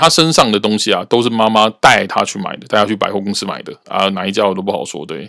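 Very fast male speech with lively intonation and a bright, sharp tone. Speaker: podcast host, cram-school teacher. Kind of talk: casual monologue.

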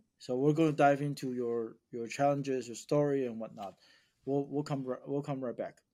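A man's dark, mellow voice at a fairly high pitch, in a Mandarin accent, with fairly even intonation and a moderate pace, on a very clean recording with a silent background. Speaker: podcast host, real estate investor. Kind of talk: casual chat.

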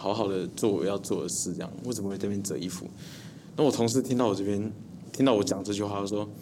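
In audible room echo, a man with a fairly low pitch talks at a very fast pace. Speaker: young comedy actor. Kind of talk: casual interview chat.

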